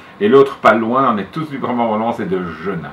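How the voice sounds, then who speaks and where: Pitch swings very widely at a moderate pace, with noticeable background noise behind the speech. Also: man. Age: 60s. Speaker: retired school headmaster and collector. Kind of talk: interview.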